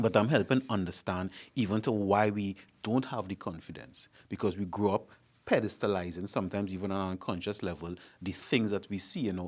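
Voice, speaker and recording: In a Trinidadian accent, a man talks at a fairly quick pace and fairly low pitch with fairly even intonation. The recording is very clean, with a silent background. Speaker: panel guest. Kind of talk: panel discussion.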